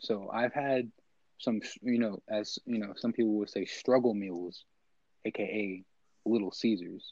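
The voice is quiet, with a dark, mellow tone and fairly even intonation. It goes at a fairly slow pace with long, frequent pauses. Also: man, medium pitch for a man. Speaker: podcast co-host. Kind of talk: casual chat. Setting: home recording.

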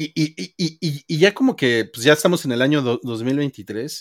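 A man with an unremarkable speaking voice, fairly high in pitch, uses lively intonation in a very clean recording with a silent background and a dry, close sound with no echo. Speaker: podcast host. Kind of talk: casual chat. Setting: live stream.

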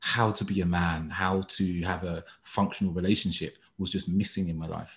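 At a moderate pace, someone speaks with a London accent against a quiet background. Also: man. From East London, England. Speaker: dating and relationship coach. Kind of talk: casual chat.

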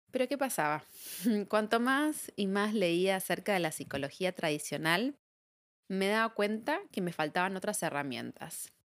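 A woman with a medium-pitched voice speaks at a fairly slow pace. Her pitch swings very widely over a very clean, silent background. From Argentina. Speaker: psychologist and podcast host. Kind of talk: reflective solo monologue.

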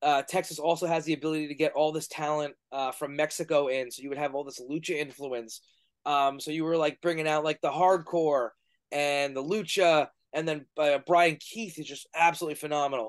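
A man with a New York accent at a fairly high pitch, fairly quick pace, fairly even intonation and big swings in loudness, over a quiet background. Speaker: professional wrestler and podcast host. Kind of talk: casual interview.

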